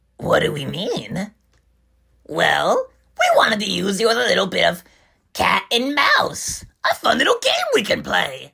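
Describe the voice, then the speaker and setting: A put-on character voice at a moderate pace, with long, frequent pauses. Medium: audio drama. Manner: giggly, erratic, repetitive, mocking.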